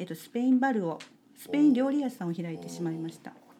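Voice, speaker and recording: Lively intonation in a woman's voice of dark, mellow tone. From Japan, Kitakyushu (Kokura, Fukuoka). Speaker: salt maker and farmer. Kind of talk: casual interview.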